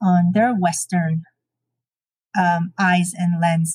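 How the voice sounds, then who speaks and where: Somewhat breathy speech in a Navajo Nation accent, very slow in pace, with a dry, close sound and no echo. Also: woman. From Navajo Nation, US Southwest. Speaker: educator. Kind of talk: interview storytelling. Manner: hesitant with fillers.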